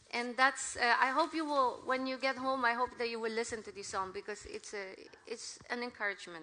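Over noticeable background noise, a woman with a high pitch speaks with big swings in loudness. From Philippines. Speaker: missionary preacher. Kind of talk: sermon. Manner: halting.

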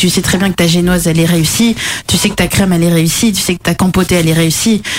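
A woman's mid-range voice comes through with a noticeable amount of background noise. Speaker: pastry chef. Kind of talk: casual chat.

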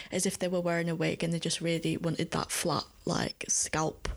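Heard on a very clean recording with a silent background, a woman with a Yorkshire accent speaks at a moderate pace in a fairly low pitch with vocal fry. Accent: northern English, Yorkshire. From Leeds, northern England. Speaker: podcast co-host. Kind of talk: casual chat.

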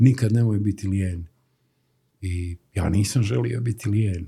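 Somewhat breathy, with a dark, mellow tone, a fairly slow pace and fairly even intonation. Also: man. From Herzegovina, Stolac. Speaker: graphic designer. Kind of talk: casual interview.

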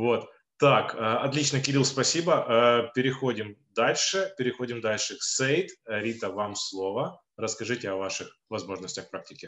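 A man's normal speaking voice, medium in pitch, at a fairly slow pace. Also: ordinary pitch variation. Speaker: education consultant and co-moderator. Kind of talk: webinar moderation.

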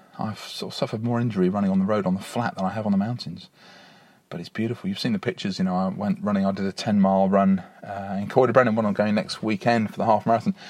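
A man speaks very fast with fairly even intonation. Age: 40s. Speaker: podcaster. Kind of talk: casual monologue. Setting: in a car; outdoors on a beach.

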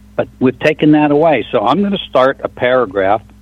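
Music plays in the background as a man speaks at a moderate pace with lively intonation. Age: 60s. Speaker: truck engine shop owner. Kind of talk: call-in radio talk show. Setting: phone call.

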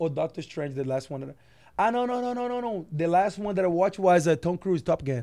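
A man with a Portuguese accent talks very fast with lively intonation. His voice is high in pitch with a dark, mellow tone, on a very clean recording with a silent background. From Brazil. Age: 20s. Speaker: professional basketball player. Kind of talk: interview. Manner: halting.

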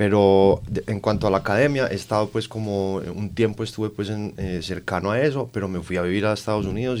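An ordinary speaking voice moves at a fairly quick pace with hardly any pauses on a very clean recording with a silent background. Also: man. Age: 30s. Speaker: rock band guitarist. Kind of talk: interview.

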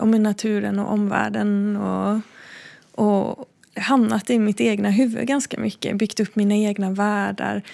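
A woman at a fairly slow pace, on a very clean recording with a silent background. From Sweden, Blekinge (forest near Backaryd). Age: 30s. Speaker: visual artist. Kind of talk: interview. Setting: art gallery. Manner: hesitant, with fillers.

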